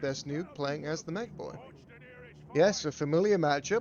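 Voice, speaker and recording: Music plays in the background as a man talks at a moderate pace, his fairly high pitch showing ordinary variation. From England (Bristol). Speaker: game streamer and tournament caster. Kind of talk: live game commentary mixed with chat to viewers. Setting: live stream. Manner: casual, swearing, halting with restarts.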